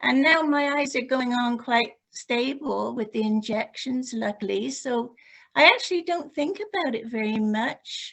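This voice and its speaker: A woman with a British accent talks at a fairly slow pace, her pitch high with ordinary variation. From UK. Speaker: group member. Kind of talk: casual chat.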